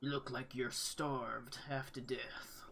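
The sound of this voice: A man puts on a booming character voice at a medium pitch. His delivery is monotone and flat, at a fairly slow pace.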